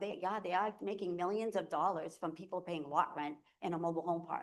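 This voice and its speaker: At a moderate pace, a woman with a fairly low pitch talks in fairly even intonation. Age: 60s. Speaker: resident speaking at public comment. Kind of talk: public comment at town meeting. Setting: town select board meeting. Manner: halting.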